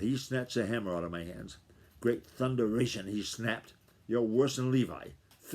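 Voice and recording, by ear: Someone reads aloud in a natural voice, the pitch rising and falling in an ordinary way.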